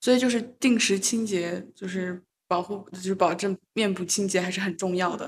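At a moderate pace, a woman talks with medium pitch, a somewhat breathy tone and fairly even intonation. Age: 20s. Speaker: podcast host, medical student. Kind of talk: casual chat.

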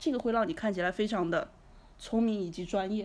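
A normal speaking voice from a woman at medium pitch, moving at a fairly quick pace. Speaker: entrepreneur. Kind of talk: casual interview.

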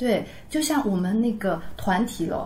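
Noticeable background noise runs under the recording. A woman speaks at a fairly slow pace. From Taizhou, Zhejiang. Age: 30s. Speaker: amateur Yue opera singer. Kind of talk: casual chat.

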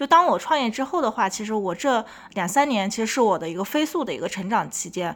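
In a very clean recording with a silent background, a woman with a fairly high pitch speaks at a fairly quick pace, her pitch swinging very widely. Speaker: podcast host and entrepreneur. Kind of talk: interview.

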